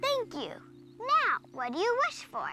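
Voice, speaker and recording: Against clear background noise, a female-sounding cartoonish character voice speaks at an extremely high pitch and a fairly slow pace. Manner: demanding, impatient.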